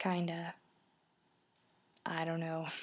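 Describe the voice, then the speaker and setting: A soft-spoken woman talks in a fairly low pitch. Her tone is dark and mellow. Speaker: vlogger. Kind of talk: casual vlog. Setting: outdoors then indoors, early morning. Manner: soft-spoken, talking quietly.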